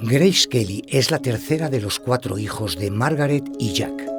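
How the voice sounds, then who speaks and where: Over background music, a man with a medium pitch speaks at a moderate pace with lively intonation. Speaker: voice actor. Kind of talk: documentary narration.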